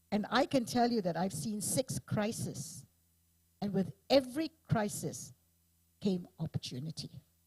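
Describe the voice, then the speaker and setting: A woman's somewhat breathy, medium-pitched voice at a fairly slow pace, with very wide pitch swings and a dry, close sound with no echo. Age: 70s. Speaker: panel moderator. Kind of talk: panel discussion.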